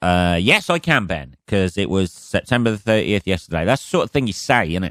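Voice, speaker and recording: A man with an English accent speaks in a fairly low pitch, captured in a dry, close sound with no echo on a very clean recording with a silent background. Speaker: comedian and podcast host. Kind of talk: casual solo podcast monologue. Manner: rambling with many fillers.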